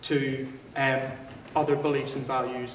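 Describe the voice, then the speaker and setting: Noticeable background noise and audible room echo surround the speaker. He is a man with a Northern Irish accent. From Northern Ireland. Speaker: student debater. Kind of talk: formal debate. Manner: halting, with frequent fillers and restarts.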